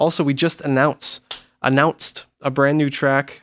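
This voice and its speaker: This is a plain, everyday voice, recorded dry and close with no echo, in a very clean take over a silent background. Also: man. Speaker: metal record label podcast host. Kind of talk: casual chat. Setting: studio.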